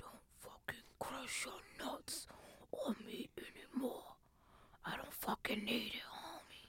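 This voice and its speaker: A put-on character voice whispers at a fairly slow pace. Long, frequent pauses break up the speech. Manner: whispering.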